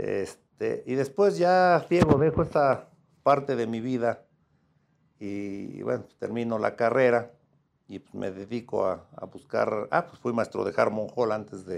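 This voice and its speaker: A man talks at a fairly slow pace in an ordinary speaking voice of medium pitch. His intonation is lively, with big swings in loudness. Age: 50s. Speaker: lawyer, sports club owner and law professor. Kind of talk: casual interview chat.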